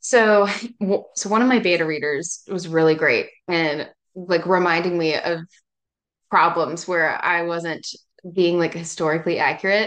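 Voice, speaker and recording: Pausing long and often, a woman with an Appalachian accent speaks at a moderate pace in a fairly low pitch with fairly even intonation. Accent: Southern US (Appalachian). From East Tennessee, Appalachia. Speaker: novelist. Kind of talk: casual interview.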